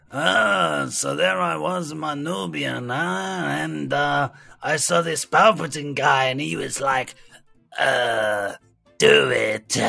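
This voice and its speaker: Over faint background music, a man speaks at a medium pitch in a put-on character voice at a very slow pace. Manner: mimicking a menacing figure.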